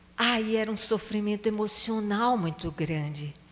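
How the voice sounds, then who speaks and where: A woman speaks at a fairly slow pace with lively intonation. Her pitch sits in the medium range. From Brazil, Recife (Pernambuco). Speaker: psychologist and charity founder. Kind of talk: talk to a prayer group.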